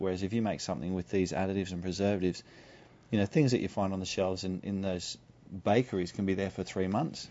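Talking very fast, a man with an Australian accent uses a fairly low pitch. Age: 40s. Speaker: naturopath. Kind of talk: radio interview.

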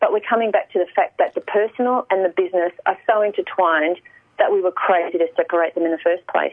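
A woman speaks with an Australian accent. Her pace is very fast. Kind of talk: radio interview. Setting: radio.

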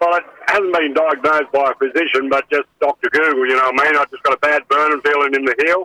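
Talking at a very fast pace, a man with an Australian accent has a fairly high pitch. His intonation is fairly even, and the sound is dry and close with no echo. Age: 80s+. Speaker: caller. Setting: phone call.

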